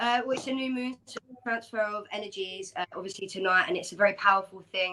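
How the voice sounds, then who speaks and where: A woman speaks at a very fast pace. Her voice sits at a medium pitch with ordinary pitch variation. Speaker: spoken word poet. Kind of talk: interview answer.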